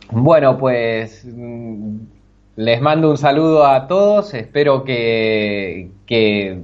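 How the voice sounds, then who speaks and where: With an Argentine accent, a man speaks at a medium pitch and a very slow pace, using lively intonation. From Argentina, Bahía Blanca. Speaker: programming student. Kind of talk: interview. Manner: halting, many repetitions.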